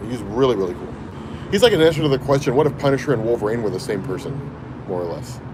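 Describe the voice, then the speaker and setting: A man speaks at a very fast pace with lively intonation, yet leaves long, frequent pauses. Noticeable background noise runs behind him. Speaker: comics YouTuber. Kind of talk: livestream chat. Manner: casual, conversational.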